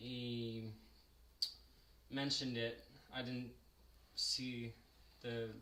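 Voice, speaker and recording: In a room with audible echo, a man of medium pitch speaks very slowly in a bright, sharp tone, flat and monotone, with long, frequent pauses. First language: French. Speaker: sculptor and live streamer. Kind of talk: casual chat during live sculpting stream. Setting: live stream. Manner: hesitant with many fillers.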